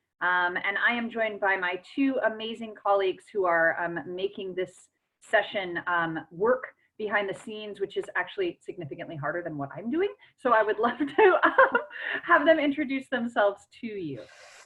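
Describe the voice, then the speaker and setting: A woman with an ordinary speaking voice and an American accent talks at a moderate pace and medium pitch, using lively intonation. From US, east of the Mississippi. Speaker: college English instructor hosting webinar. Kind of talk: webinar presentation. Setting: video call webinar.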